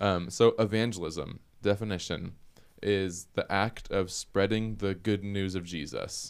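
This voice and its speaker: With an American accent, a man talks at a fairly slow pace in a fairly low pitch and fairly even intonation, a plain, everyday voice. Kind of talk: casual chat.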